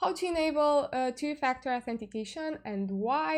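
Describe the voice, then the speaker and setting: Speaking in a Romanian accent, a woman uses a high pitch and lively intonation over a quiet background. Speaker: crypto YouTuber. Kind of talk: tutorial. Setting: live stream. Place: home room. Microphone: webcam.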